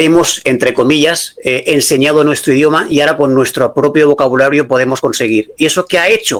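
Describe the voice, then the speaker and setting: This man talks at a fairly quick pace in a fairly high pitch, with ordinary pitch variation and very even loudness. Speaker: AI consultant and business school lecturer. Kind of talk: lecture. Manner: fast.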